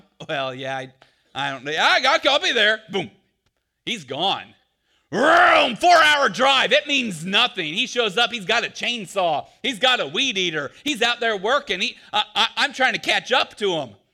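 The voice is raised and projected, with a bright, sharp tone. It moves at a fairly slow pace with very wide pitch swings. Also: man, high pitch for a man. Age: 40s. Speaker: pastor. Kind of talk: sermon.

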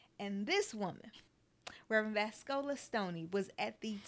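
A woman talks at a medium pitch with ordinary pitch variation in a normal speaking voice. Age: 40s. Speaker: podcast host. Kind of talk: casual interview chat.

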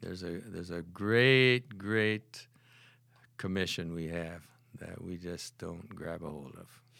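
Very deep and low in pitch, a man with an Upper Midwest accent speaks at a fairly slow pace in a bright, sharp tone with big swings in loudness, on a very clean recording with a silent background. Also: ordinary pitch variation. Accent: Upper Midwest American. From US Midwest (Holland, Michigan). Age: 70s. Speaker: retired math professor and church prayer leader. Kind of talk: testimony.

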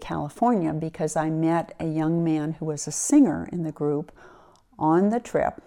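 A woman with an American accent speaks in a normal speaking voice, fairly low in pitch and at a fairly slow pace. The recording is very clean, with a silent background. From US Mid-Atlantic, Wilmington, Delaware. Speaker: retired lawyer and senior cyclist. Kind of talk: interview.

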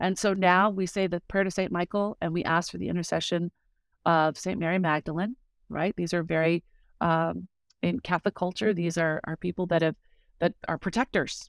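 In a very clean recording with a silent background, an unremarkable speaking voice talks at a moderate pace with fairly even intonation. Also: woman, fairly low pitch for a woman, dry, close sound with no echo. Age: 50s. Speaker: author and speaker. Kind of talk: casual chat.

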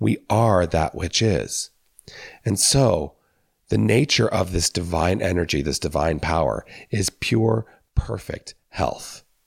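A man speaks at a very slow pace in a very deep, low voice with vocal fry. His pitch swings very widely while his loudness stays very even. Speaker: minister. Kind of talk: spiritual talk.

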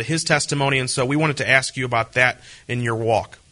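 A man at a medium pitch, very fast pace and fairly even intonation, with noticeable background noise. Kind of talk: radio interview.

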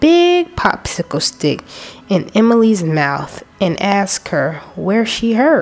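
A reading voice, unforced

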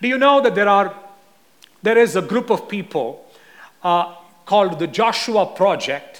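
Over noticeable background noise, a high-pitched man talks at a moderate pace with ordinary pitch variation. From India. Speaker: visiting preacher. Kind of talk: sermon.

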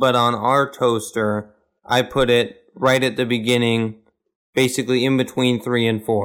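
This man has an American accent and a medium pitch. He talks at a fairly slow pace with fairly even intonation. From Kansas. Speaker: podcast co-host. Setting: remote call. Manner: monotone.

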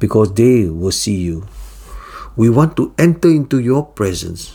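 A man speaks at a fairly slow pace in a solemn tone. His voice has a dark, mellow tone and lively intonation. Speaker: devotional teacher. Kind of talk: fervent prayer, led aloud as a devotional prayer. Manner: solemn, earnest and reverent, humble tone; formal, steady and heartfelt.

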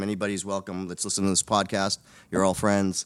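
Here a man talks at a very fast pace with an American accent. His pitch is fairly low, and the sound is dry and close with no echo. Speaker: gym owner and boxing coach. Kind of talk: casual interview chat. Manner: jokey, animated.

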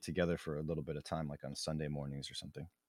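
A man with an American accent is heard in a very clean recording, the sound dry and close with no echo over a silent background. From Minnesota, US Upper Midwest. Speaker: podcast co-host. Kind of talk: casual banter chat.

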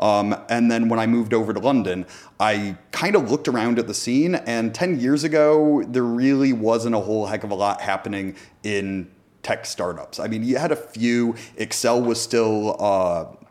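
A man with an American accent speaks at a medium pitch and moderate pace. His pitch varies in an ordinary way on a very clean recording with a silent background. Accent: American, sometimes taken for Canadian. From US, Northern California (Bay Area). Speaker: tech startup founder. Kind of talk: interview.

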